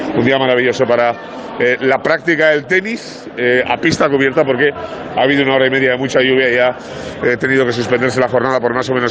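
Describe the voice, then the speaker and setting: Noticeable background noise sits behind a man speaking at a very fast pace. His medium pitch holds a fairly even intonation. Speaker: sports reporter. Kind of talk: live report. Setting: on location at tennis venue. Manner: hesitant, many fillers.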